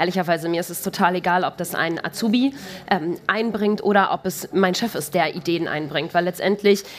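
Through noticeable background noise, a woman speaks at a fairly quick pace with a medium pitch and ordinary pitch variation. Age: 30s. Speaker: corporate sustainability manager. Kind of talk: live podcast interview. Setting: stage with live audience.

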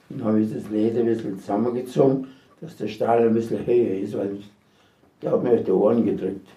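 Audible room echo surrounds this voice, which moves at a fairly quick pace with ordinary pitch variation. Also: man, medium pitch for a man, big swings in loudness. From Sudetenland (Silesia, now Czechia). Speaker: war veteran. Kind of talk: testimony. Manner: halting.

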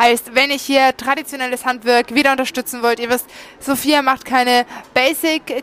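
A woman speaks in a high pitch at a moderate pace with monotone, flat intonation. The sound is dry and close, with no echo. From Franconia, Nuremberg. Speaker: podcast host. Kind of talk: sales pitch; casual chat.

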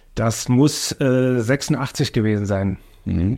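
Speaking at a very slow pace, a man uses a medium-pitched voice. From Germany, Oranienburg (Brandenburg). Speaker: city finance official and deputy mayor. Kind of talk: casual interview.

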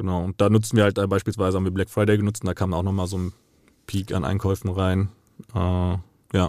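A man with a very deep, low pitch talks at a fairly quick pace in a dark, mellow tone, his intonation monotone and flat. Long, frequent pauses break up his speech, and the sound is dry and close with no echo. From Frankfurt, Hesse, Germany. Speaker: meme page creator. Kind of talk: interview. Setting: studio.

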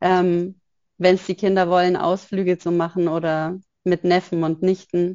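A woman's fairly low-pitched voice at a fairly slow pace, with monotone, flat intonation. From Upper Bavaria, near Munich. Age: 30s. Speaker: photographer and single mother. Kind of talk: interview conversation.

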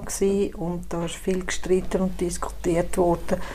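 A woman's voice carries audible room echo. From Switzerland, Zurich. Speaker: cantonal politician. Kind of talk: casual interview.

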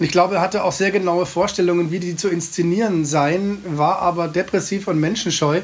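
Over noticeable background noise, a man speaks in a high pitch with monotone, flat intonation. His pace is fairly quick with hardly any pauses. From Munich, Bavaria. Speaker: cabaret artist. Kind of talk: interview. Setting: remote call from home.

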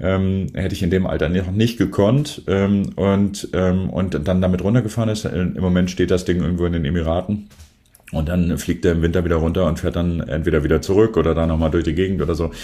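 A man speaks with a very deep, low pitch and a dark, mellow tone. His pace is fairly quick, with ordinary pitch variation. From northern Germany, near Bremen. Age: 50s. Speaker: photographer. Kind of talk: casual interview.

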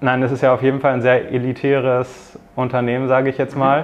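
A man talks at a moderate pace and medium pitch, his intonation monotone and flat. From northern Germany, near Bremen. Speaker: student, M&A intern. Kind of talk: interview. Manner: hesitant, many filler sounds.

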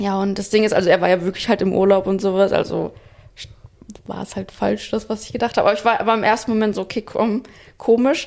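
Very fast speech from a woman, with fairly even intonation. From Espelkamp, East Westphalia, Germany. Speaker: podcast host, company founder. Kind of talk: casual chat.

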